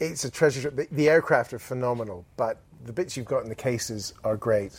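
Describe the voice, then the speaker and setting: A man with a British accent talks at a fairly quick pace and medium pitch, his voice somewhat breathy and his intonation lively. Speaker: podcast host. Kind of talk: casual interview chat.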